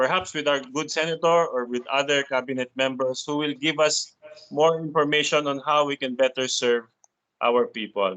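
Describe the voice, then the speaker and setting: A moderate pace and fairly even intonation, in a Filipino accent. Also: man, fairly high pitch for a man. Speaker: meeting moderator. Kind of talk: formal meeting moderation. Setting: video call.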